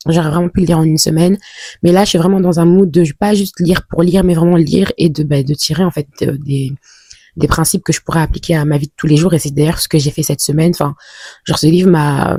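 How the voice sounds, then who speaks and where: The speech comes at a very fast pace with fairly even intonation, recorded with a dry, close sound and no echo. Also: woman, fairly low pitch for a woman. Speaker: vlogger. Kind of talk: casual vlog talk to camera. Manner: hesitant, many fillers.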